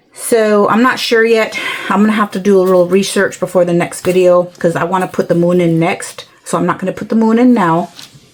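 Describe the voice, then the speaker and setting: A woman talks at medium pitch and a fairly quick pace, with hardly any pauses. Her intonation is fairly even, and there is noticeable background noise. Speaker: craft tutorial creator. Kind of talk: tutorial. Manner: hesitant.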